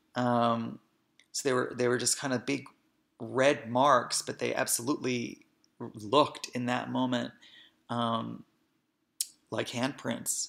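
A man's medium-pitched, monotone delivery with an American accent, very slow and full of long, frequent pauses. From New Jersey, Hoboken. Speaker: podcast host, wellness practitioner. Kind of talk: casual storytelling; podcast hosting monologue.

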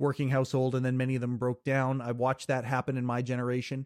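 In a very clean recording with a silent background, a man speaks with a Western Canadian accent. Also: dry, close sound with no echo. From Western Canada, British Columbia. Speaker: podcast host. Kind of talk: casual interview chat. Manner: animated.

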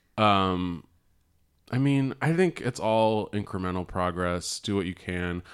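At a fairly slow pace, a man speaks in an unremarkable speaking voice with ordinary pitch variation, on a very clean recording with a silent background. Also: fairly low pitch for a man. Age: 30s. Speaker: podcast co-host. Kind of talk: casual chat.

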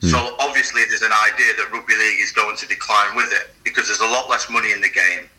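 A man rattles along at a very fast pace, with hardly any pauses, amid noticeable background noise. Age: 30s. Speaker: rugby league historian. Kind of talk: interview.

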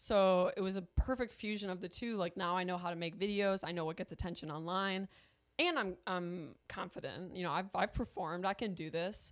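A woman with an American accent, a normal speaking voice at a fairly quick pace with fairly even intonation. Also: medium pitch for a woman, very clean recording, silent background. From US Midwest, Milwaukee, Wisconsin. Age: 20s. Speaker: video influencer. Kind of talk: casual chat.

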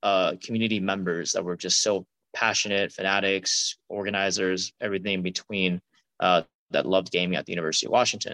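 Over a quiet background, a man talks at a fairly quick pace with a bright, sharp tone, a fairly low pitch and monotone, flat intonation, the sound dry and close with no echo. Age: 20s. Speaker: startup co-founder, former gaming program manager. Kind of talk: podcast interview.

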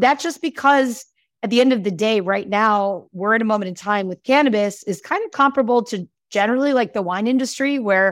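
A woman speaks in an ordinary speaking voice, fairly high in pitch with ordinary pitch variation, at a fairly quick pace. The recording is very clean, with a silent background. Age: 30s. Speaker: beverage industry founder and CEO. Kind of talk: interview conversation.

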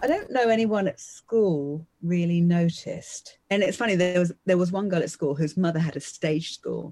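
With a southern English accent, a woman speaks at a moderate pace with hardly any pauses, her fairly low voice dark and mellow in tone and showing ordinary pitch variation. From Essex, England. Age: 50s. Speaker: magician. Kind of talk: interview.

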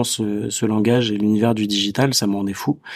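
Recorded very cleanly against a silent background, a man with an ordinary speaking voice talks at a fairly low pitch with fairly even intonation. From Paris suburbs, France. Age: 30s. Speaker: entrepreneur, event organizer. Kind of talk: casual interview.

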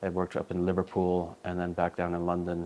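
A man with a very deep, low pitch on a very clean recording against a silent background. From New York/New Jersey area, US. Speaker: parent and teacher, former career in UK. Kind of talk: casual interview chat. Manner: halting, hesitant with fillers.

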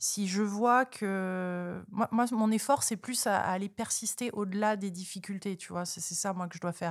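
A woman with an ordinary speaking voice and a medium pitch talks at a moderate pace with fairly even intonation on a very clean recording with a silent background. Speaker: spiritual interviewer and author. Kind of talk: casual chat.

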